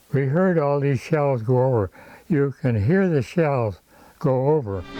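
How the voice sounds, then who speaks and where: Music plays in the background as a man with an American accent speaks at a fairly slow pace. His pitch is fairly high and his loudness very even. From Syracuse, New York area. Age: 80s+. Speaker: WWII Marine veteran. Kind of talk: interview answer.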